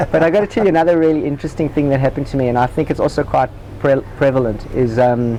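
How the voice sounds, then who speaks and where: This man talks at a very fast pace with very even loudness and a fairly high pitch, with ordinary pitch variation. Noticeable background noise can be heard. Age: 40s. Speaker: spiritual seeker and former tennis player. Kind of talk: interview.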